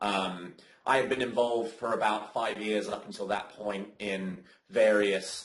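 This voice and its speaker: A man with a British accent speaks in a fairly low, monotone, flat voice. Audible room echo and noticeable background noise surround him. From Britain. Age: 20s. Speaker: community co-founder. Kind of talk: interview. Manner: hesitant, many fillers.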